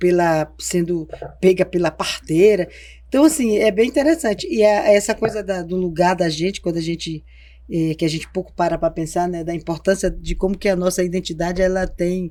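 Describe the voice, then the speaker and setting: A dark, mellow tone in a woman's voice of medium pitch. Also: ordinary pitch variation, moderate pace. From Porto Velho, Rondônia, Brazil. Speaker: cultural producer and activist. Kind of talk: podcast interview. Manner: halting, many fillers.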